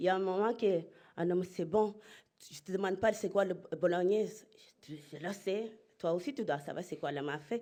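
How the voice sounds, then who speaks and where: Her voice dark and mellow, a woman of medium pitch speaks at a moderate pace with ordinary pitch variation. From Spain (Murcia), Senegalese family. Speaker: entrepreneur. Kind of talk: conference talk. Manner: halting.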